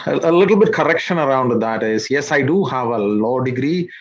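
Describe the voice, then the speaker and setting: This is a man with a Malayali accent. His voice sits at a medium pitch. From India, Kerala (Idukki district). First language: Malayalam. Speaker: social worker, immigrant community figure. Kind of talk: interview. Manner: halting, many fillers.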